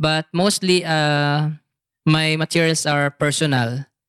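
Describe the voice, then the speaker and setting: A man with a Filipino accent speaks very slowly at a fairly high pitch, the sound dry and close with no echo. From Philippines. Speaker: teacher and stand-up comedian. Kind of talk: casual interview.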